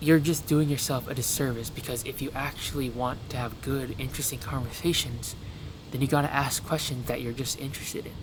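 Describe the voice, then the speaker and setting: At a fairly quick pace, a man talks at a medium pitch with fairly even intonation, and the room echo is audible. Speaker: self-help vlogger. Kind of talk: casual advice monologue. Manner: fast, racing speech; halting with stutters.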